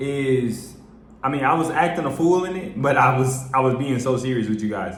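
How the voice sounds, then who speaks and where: A man speaks with an American accent. Audible room echo surrounds his voice. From US Midwest. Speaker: vlogger. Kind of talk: casual vlog talk to camera. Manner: animated.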